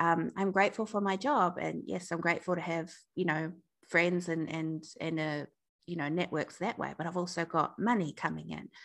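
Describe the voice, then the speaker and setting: Against a quiet background, a woman with a New Zealand accent speaks at a moderate pace in a fairly low voice with vocal fry. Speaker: breakup recovery coach and founder. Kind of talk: interview conversation.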